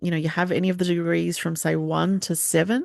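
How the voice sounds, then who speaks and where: A fairly low-pitched woman's voice in an Australian accent, fairly quick, with ordinary pitch variation and a quiet background. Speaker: astrologer. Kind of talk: forecast talk with slides. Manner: hesitant, many fillers.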